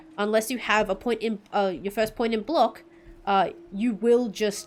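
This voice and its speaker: A woman with an Australian accent at medium pitch, moderate pace and ordinary pitch variation, music playing in the background. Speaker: VTuber game streamer. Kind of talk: casual gameplay commentary.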